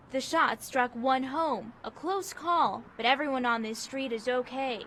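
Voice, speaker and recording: A woman's high-pitched voice moves at a fairly slow pace. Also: ordinary pitch variation. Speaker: television news reporter and anchor. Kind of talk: recorded news package voiceover.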